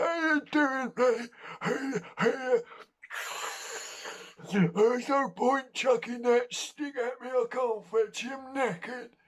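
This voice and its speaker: A man puts on a character voice, talking at an extremely high pitch and a fairly slow pace. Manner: weary, jokey.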